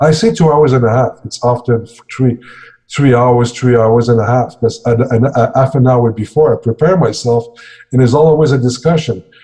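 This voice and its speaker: There's a somewhat breathy quality to this man's voice, and his intonation is fairly even. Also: medium pitch for a man, moderate pace. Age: 60s. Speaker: security and emergency training consultant. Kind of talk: interview. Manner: halting.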